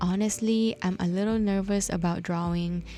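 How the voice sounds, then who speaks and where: A woman's fairly low, somewhat breathy voice with a dark, mellow tone, a non-native accent and a moderate pace. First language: not English. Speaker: bullet journal YouTuber. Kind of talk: voiceover tutorial. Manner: friendly, upbeat.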